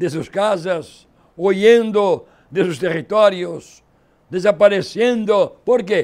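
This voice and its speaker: Very slowly, a man speaks in a high voice with ordinary pitch variation, in a very clean recording with a silent background. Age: 80s+. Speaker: pastor. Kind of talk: sermon.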